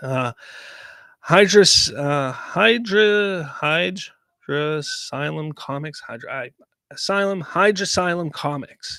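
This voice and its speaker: A man speaks very slowly in a high pitch, with a bright, sharp tone. His intonation is lively and his loudness swings widely. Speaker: livestream host reading chat. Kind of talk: casual livestream chat.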